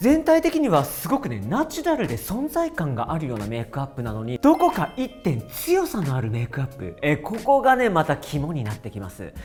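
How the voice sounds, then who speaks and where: Someone talks at a fairly quick pace. Music is playing in the background. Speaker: hair and makeup artist. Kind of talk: beauty product review talk to camera. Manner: chatty, animated.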